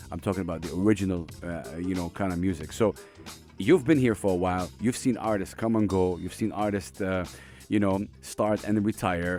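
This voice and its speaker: A man with a very deep, low voice talks at a fairly quick pace with ordinary pitch variation while music plays in the background. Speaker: radio host. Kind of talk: interview question.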